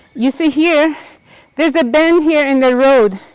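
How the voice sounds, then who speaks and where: The pace is moderate. The speaker is a woman. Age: 70s. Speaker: Quran memorization teacher. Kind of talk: casual talk to camera while climbing steps. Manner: out of breath.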